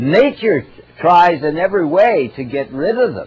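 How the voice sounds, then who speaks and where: Over music in the background, a man with a fairly high pitch speaks at a fairly slow pace. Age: 80s+. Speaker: natural health lecturer. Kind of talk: health lecture.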